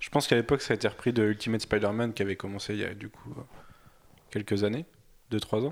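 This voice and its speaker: The speaker talks at a very fast pace with fairly even intonation. Long, frequent pauses break up the speech. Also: man, fairly low pitch for a man, big swings in loudness. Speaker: podcast panelist. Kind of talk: casual chat.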